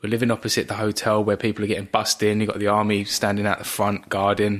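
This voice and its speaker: The speaker has an Essex accent. The words come out at a very fast pace. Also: man. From Essex, England. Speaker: host's husband, expectant father. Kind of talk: casual chat.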